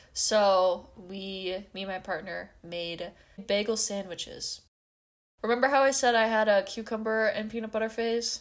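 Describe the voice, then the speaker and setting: Fairly high pitch from a woman at a moderate pace, with fairly even intonation, in a very clean recording with a silent background. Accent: slight Upper Midwest. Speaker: podcast co-host. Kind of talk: casual chat.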